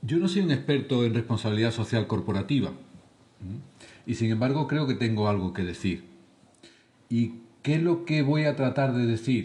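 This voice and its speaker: With a southern Spanish accent, a man speaks at medium pitch and moderate pace, with lively intonation, long, frequent pauses and audible room echo. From southern Spain. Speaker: charity leader, lecturer. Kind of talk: lecture. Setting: lecture hall with audience.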